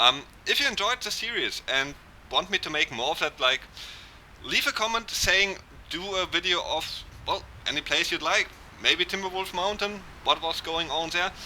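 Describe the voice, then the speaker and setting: A man's high voice at a moderate pace, with lively intonation, long, frequent pauses, and noticeable background noise. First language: German. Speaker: gaming YouTuber. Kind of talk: fictional story narration over gameplay; casual outro to viewers. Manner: hesitant, with fillers.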